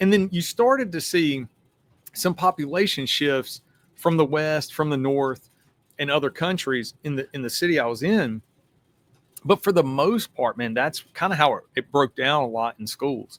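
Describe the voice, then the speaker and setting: A man's fairly high voice with lively intonation, dry and close with no echo, on a very clean recording over a silent background. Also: moderate pace. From US South. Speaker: retired police detective. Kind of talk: podcast interview. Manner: casual, animated.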